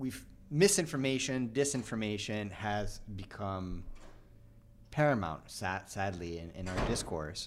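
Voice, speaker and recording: Speaking at a fairly slow pace with lively intonation, a man with a fairly low pitch shows big swings in loudness, and audible room echo surrounds his voice. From Canada. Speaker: podcast host. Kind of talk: live panel discussion. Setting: live at a conference.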